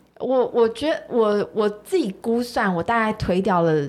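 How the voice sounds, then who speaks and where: At a fairly slow pace, a woman speaks in a normal speaking voice with ordinary pitch variation. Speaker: meditation coach and single mother. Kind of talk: casual chat.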